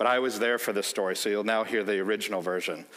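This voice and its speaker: In a Chicago accent, a man talks with a fairly low pitch. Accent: American, Chicago. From US Midwest, Chicago. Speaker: company executive. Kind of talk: keynote speech with anecdotes. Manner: animated storytelling.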